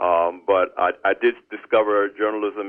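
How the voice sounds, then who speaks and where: His pitch sits fairly low. The man talks with an American accent. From US Northeast, New Jersey shore. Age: 60s. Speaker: business journalist and magazine editor. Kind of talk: interview. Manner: halting, many fillers.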